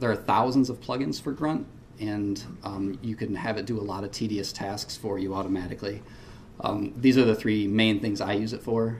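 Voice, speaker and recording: A somewhat breathy man's voice at a fairly low pitch, with fairly even intonation and a moderate pace, in audible room echo. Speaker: web developer presenting at a conference. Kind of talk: conference talk. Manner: hesitant, many fillers.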